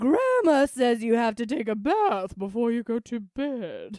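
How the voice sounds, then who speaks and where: A put-on character voice, female-sounding and fairly high-pitched, at a fairly slow pace. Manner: eerie, exaggerated.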